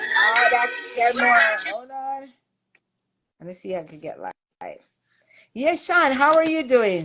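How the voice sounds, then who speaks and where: A woman speaks in a raised, projected voice with a high pitch and very wide pitch swings. Her pace is fairly slow, with long, frequent pauses and big swings in loudness. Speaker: talk show host. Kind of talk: casual live-stream chat.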